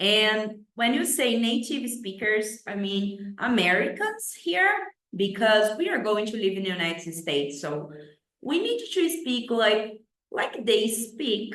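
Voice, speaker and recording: In a Brazilian accent, a woman speaks very slowly at a fairly high pitch with lively intonation. Audible room echo surrounds her voice. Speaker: English teacher. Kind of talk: tutorial. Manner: halting, with many fillers.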